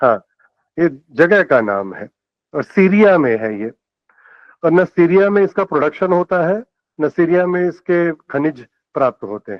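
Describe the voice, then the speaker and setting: The voice moves through very wide pitch swings. Long, frequent pauses break up the speech. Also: man, high pitch for a man. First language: Telugu or Kannada (speaking Hindi). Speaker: lecturer. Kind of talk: lecture.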